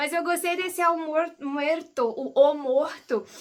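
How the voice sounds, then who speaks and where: A raised, projected voice, bright and sharp in tone, at a fairly slow pace. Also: woman. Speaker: book YouTuber. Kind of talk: casual book review vlog. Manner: casual, hesitant with fillers.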